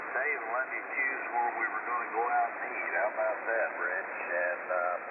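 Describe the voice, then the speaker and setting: Noticeable background noise and audible echo from the room accompany a man's speech. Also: moderate pace. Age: 70s. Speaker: ham radio operator checking in to a net. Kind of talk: radio net check-in. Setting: amateur radio transmission.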